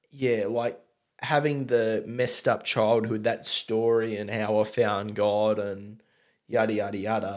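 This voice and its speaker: A man with a strong Australian accent, at a fairly slow pace. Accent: broad Australian. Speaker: podcast host and beer reviewer. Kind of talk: casual chat.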